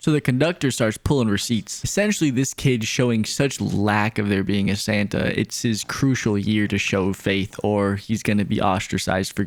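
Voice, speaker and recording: This man has an ordinary speaking voice pitched fairly low. He talks at a fairly quick pace with ordinary pitch variation. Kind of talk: comedic movie recap narration. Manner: casual, joking.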